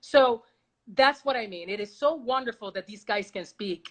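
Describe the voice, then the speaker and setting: Over a quiet background, a woman with a Spanish accent talks at a moderate pace, her fairly high voice carrying lively intonation. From Puerto Rico. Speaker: baseball reporter. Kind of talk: casual interview. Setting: video call. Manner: loud.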